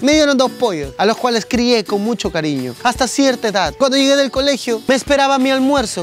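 A man's fairly quick speech, dry and echo-free, over faint background music. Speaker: comedian storyteller. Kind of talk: comic monologue to camera. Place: street. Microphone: lapel.

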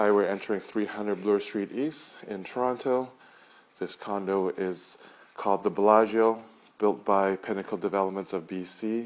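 A man with a normal speaking voice, fairly low in pitch, at a moderate pace. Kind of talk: property tour narration. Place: home room. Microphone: phone near.

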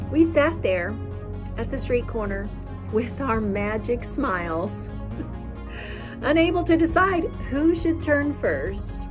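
A woman with an American accent speaks at a very slow pace with long, frequent pauses. Clear music plays in the background. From Indiana, US Midwest. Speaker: poet. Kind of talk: poetry reading. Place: open country. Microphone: phone near.

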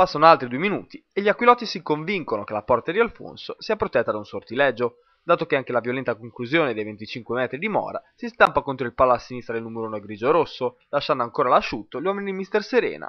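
This man's voice sits fairly high and talks at a very fast pace. His pitch swings very widely and his loudness rises and falls sharply. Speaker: match commentator. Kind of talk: recorded play-by-play match recap in sports commentary, narrated over highlights. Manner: fluent, brisk, dramatic narration with vivid phrasing; formal, polished journalistic Italian, rhythmic and steady.

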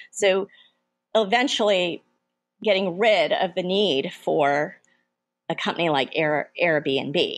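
Her intonation lively, a woman speaks at a very slow pace and medium pitch, with music in the background. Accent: American. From United States. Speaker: venture capitalist. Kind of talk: interview.

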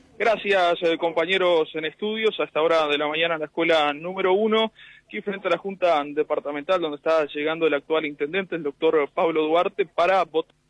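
High-pitched, a man speaks at a fairly quick pace. He leaves hardly any pauses. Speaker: field reporter. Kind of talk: live field report. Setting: outdoors at polling station, mobile unit.

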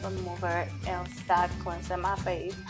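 Clear music plays in the background. The speaker has a non-native accent and keeps a moderate pace. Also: woman. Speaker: beauty vlogger. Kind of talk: casual skincare tutorial to camera. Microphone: camera far.

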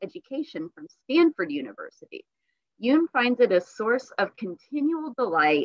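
A quiet background behind a woman speaking at a moderate pace. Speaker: library program host. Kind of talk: introduction of a guest. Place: home room. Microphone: webcam.

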